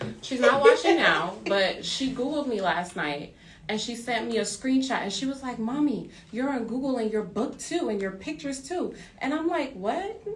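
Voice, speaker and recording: A woman's high voice at a moderate pace, with very wide pitch swings, noticeable background noise and audible room echo. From Trinidad. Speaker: author and pole fitness instructor. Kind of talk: interview. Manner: hesitant.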